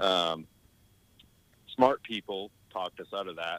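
With a Southern US accent, a man speaks at a fairly slow pace in a fairly low voice. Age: 30s. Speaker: amateur golfer. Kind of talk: casual interview. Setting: remote call.

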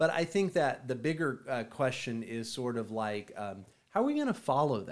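A man with an ordinary speaking voice, medium pitch and lively intonation. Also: moderate pace. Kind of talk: radio DJ patter, promo-style station plugging with jokey ad-libs. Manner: playful, teasing, upbeat showman delivery with mock-announcer flourishes and laughs.

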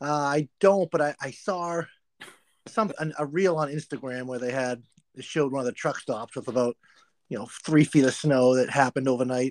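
This man has an unremarkable speaking voice with an American accent, pitched fairly high and moving at a moderate pace. His pitch varies in an ordinary way, and the sound is dry and close with no echo. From Massachusetts. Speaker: motorcycle podcast co-host. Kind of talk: casual chat.

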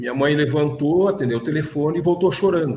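A somewhat breathy man's fairly high voice at a moderate pace, with audible room echo. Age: 60s. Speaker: businessman and consciousness researcher. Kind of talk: casual interview.

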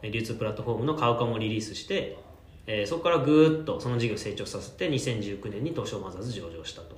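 A man talks at a very fast pace and medium pitch with lively intonation. His loudness swings a lot, and room echo is audible. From Japan, Kanto (Yokohama, Kanagawa). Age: 30s. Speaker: startup founder and CEO. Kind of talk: interview.

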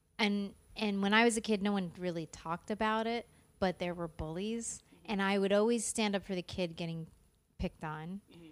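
A woman speaks at a medium pitch and a fairly quick pace, her loudness swinging widely while her intonation stays fairly even. The recording is very clean, with a silent background. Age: 40s. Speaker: comedian and actress. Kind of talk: casual chat. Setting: backstage at a theater.

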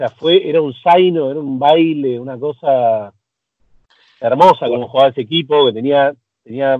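In a Rioplatense accent, a man speaks at a moderate pace with a medium pitch and fairly even intonation. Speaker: film director. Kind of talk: casual chat.

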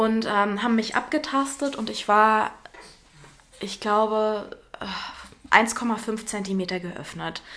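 Very slow and with long, frequent pauses, a woman speaks with fairly even intonation. Her loudness swings widely, and there is noticeable background noise. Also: fairly high pitch for a woman. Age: 30s. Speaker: mother, former actress and theatre educator. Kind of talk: casual interview. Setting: in person with her baby.

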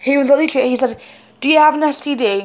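A woman speaks with a British accent. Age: young. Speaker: vlogger. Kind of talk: personal testimony. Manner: animated; halting.

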